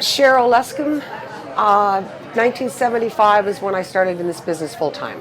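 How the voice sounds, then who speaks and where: Over crowd noise and audible room echo, a woman talks at a fairly quick pace in a medium pitch with lively intonation. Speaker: musician. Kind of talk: interview.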